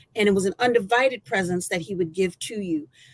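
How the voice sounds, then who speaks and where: This woman's voice sits at a medium pitch. Her intonation is lively. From Michigan. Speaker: former college athlete. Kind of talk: testimony. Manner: loud.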